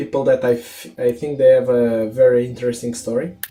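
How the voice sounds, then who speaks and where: A man's dark, mellow tone at a moderate pace, with ordinary pitch variation. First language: not English. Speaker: podcast host. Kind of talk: casual interview. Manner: halting, many repetitions and fillers.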